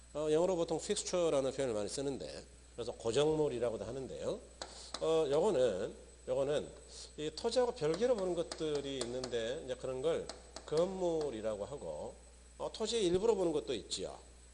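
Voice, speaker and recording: Moderate-paced speech from a man, carrying audible room echo. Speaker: real estate law lecturer. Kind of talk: lecture.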